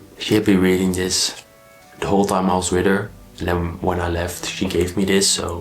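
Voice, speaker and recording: Over noticeable background noise, a man talks in a very deep, low voice with monotone, flat intonation. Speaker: book vlogger. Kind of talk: casual book review vlog.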